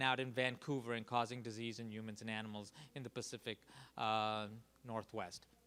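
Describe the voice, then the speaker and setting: A man with a New York accent, bright and sharp in tone, at a fairly quick pace. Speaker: public health dean and lecturer. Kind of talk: lecture. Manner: fast.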